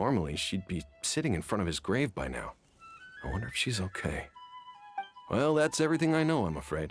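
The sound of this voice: Over faint background music, a man does a put-on character voice with a low pitch, a slightly husky edge, big pitch swings and a fairly quick pace.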